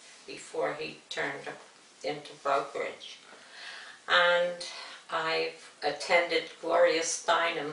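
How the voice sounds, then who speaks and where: A woman talks at a very slow pace, leaving long, frequent pauses. Noticeable background noise sits behind her. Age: old. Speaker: retired bank back-office clerk. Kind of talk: interview answer.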